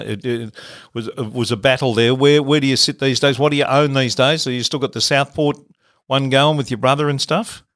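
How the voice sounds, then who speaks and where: A man with an Australian accent at a very fast pace and medium pitch, with ordinary pitch variation, in a very clean recording with a silent background. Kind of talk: casual interview.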